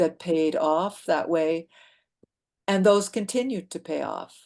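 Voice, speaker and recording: A woman's medium-pitched voice with a dark, mellow tone, fairly even intonation and a fairly slow pace, against a quiet background. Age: 70s. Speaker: dancer and choreographer. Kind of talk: interview conversation. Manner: halting, with many restarts.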